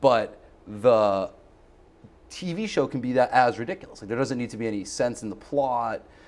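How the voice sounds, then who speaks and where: Speaking at a moderate pace, a man with a medium pitch and ordinary pitch variation shows big swings in loudness. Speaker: public access comedy show co-host. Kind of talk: casual chat.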